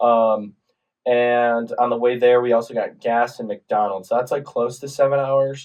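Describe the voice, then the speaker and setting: A man speaks at a medium pitch in a flat, monotone way. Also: moderate pace. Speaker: podcast co-host, college athlete. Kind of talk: casual chat.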